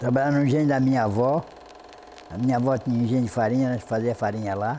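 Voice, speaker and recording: The speech moves at a very fast pace with ordinary pitch variation, broken by long, frequent pauses. Noticeable background noise runs underneath. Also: man. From Bombinhas, Santa Catarina, Brazil. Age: 80s+. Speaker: cassava flour mill owner. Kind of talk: documentary interview.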